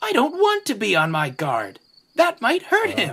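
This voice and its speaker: The voice is pitched fairly high. It is a put-on character voice. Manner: whimpering.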